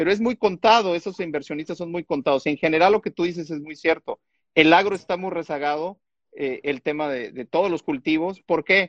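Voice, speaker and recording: At a fairly quick pace, a high-pitched man talks with ordinary pitch variation against a quiet background, the sound dry and close with no echo. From Mexico, Chiapas. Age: 50s. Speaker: software and digital transformation consultant. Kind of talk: casual chat.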